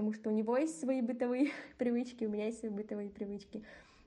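At a very fast pace, a woman speaks with a fairly high pitch and fairly even intonation. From Kazakhstan. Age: 20s. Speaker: student. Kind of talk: casual chat. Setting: remote call.

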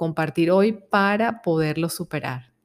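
A woman with an unremarkable speaking voice talks at a fairly slow pace and fairly low pitch with ordinary pitch variation, on a very clean recording with a silent background. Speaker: psychologist. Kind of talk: self-help talk.

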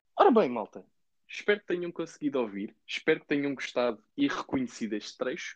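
A man's medium-pitched voice in a European Portuguese accent, with very wide pitch swings and a dry, close sound with no echo. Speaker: gaming podcast host. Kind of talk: casual chat. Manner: animated.

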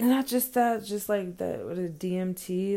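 A woman's medium-pitched voice in an American accent, dark and mellow in tone, with fairly even intonation and a very slow pace. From United States. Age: 30s. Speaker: podcast host. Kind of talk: solo casual monologue. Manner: casual with many fillers.

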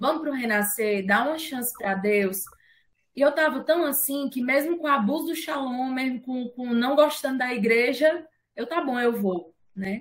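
A woman's high voice, with ordinary pitch variation, moves along at a moderate pace. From Fortaleza, Ceará, Brazil. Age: 20s. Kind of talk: casual chat.

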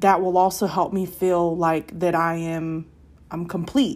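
Music plays in the background as a woman speaks. Her medium-pitched voice is monotone and flat. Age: 20s. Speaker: podcast host. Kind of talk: casual monologue. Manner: hesitant, many filler words.

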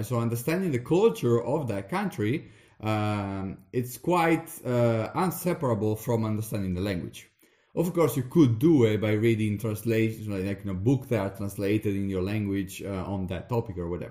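Speaking with an Italian accent, a man uses a medium pitch and lively intonation. His tone is dark and mellow, and his pace is moderate. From Veneto, northeast Italy. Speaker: podcast host, PhD researcher. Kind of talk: casual conversational podcast chat.

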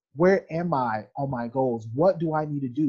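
Lively intonation from a man, somewhat breathy. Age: 40s. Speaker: podcast host. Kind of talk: interview conversation. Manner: hesitant, many fillers.

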